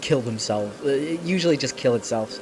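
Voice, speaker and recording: A man's fairly high voice, ordinary pitch variation, moderate pace, with noticeable background noise behind it. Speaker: streamer and artist. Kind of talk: casual live stream chat. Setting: live stream with chat. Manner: halting, many fillers.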